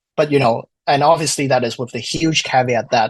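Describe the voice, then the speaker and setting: A man with a non-native accent speaks in a somewhat breathy voice with fairly even intonation. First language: not English. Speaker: wine diploma graduate and study group moderator. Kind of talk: podcast interview. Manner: hesitant, many fillers.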